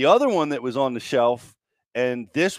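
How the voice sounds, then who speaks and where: With an American accent, a plain, everyday voice speaks at a moderate pace in a very clean recording with a silent background and a dry, close sound with no echo. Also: man. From US Mid-Atlantic. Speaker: podcast host. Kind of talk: casual chat.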